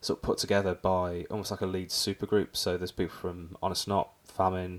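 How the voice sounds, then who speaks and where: With an English accent, a man speaks at a moderate pace in a very deep, low pitch. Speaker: podcast host. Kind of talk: casual chat.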